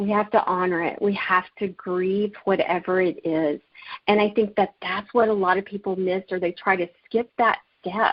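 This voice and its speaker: A woman's monotone, flat intonation at a moderate pace. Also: medium pitch for a woman. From Alabama. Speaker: life coach and author. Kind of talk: interview. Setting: radio show.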